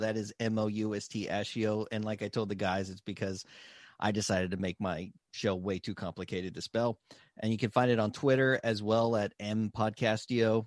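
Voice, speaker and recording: A normal speaking voice from a man, fairly low in pitch and at a fairly quick pace, with a dry, close sound with no echo and a quiet background. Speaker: podcaster guest.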